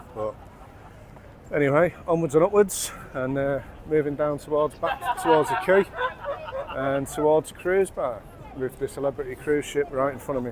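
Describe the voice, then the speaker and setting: With crowd noise in the background, a man speaks at a fairly high pitch and a moderate pace, with ordinary pitch variation and long, frequent pauses. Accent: Mancunian. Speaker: pub reviewer. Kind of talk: casual talk to camera. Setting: noisy bar. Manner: casual, blokey, rambling.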